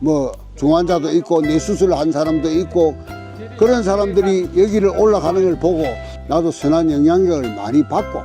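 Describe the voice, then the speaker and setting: A man's fairly high voice over music in the background. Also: ordinary pitch variation, moderate pace. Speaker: hiker. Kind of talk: interview answer.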